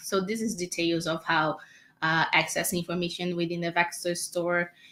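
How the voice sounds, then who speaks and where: A woman speaks with a Portuguese accent at a fairly low pitch. Her tone is bright and sharp. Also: very clean recording, silent background. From Brazil. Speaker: developer advocate. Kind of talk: technical code demo.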